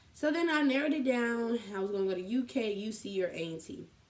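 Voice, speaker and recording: Lively intonation in a woman's voice. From Columbus, Ohio. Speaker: college student vlogger. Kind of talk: casual vlog. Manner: fast.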